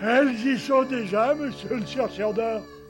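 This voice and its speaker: A man puts on a cartoonish character voice at an extremely high pitch, speaking fairly slowly. Clear music runs in the background. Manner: slow, naive.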